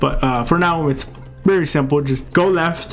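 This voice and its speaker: A man with a non-native accent talks at a moderate pace with ordinary pitch variation. The room echo is audible, and background noise is noticeable. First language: not English. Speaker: gaming youtuber. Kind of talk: tutorial gameplay commentary. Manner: casual, many filler words.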